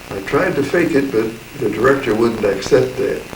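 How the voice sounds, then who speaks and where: Amid noticeable background noise and audible room echo, a man talks at a medium pitch with lively intonation and a moderate pace. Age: 80s+. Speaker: actor. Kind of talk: talking to camera.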